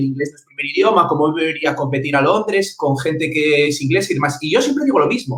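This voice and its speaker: A man's high-pitched voice with lively intonation. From Spain. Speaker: interviewer. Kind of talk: interview.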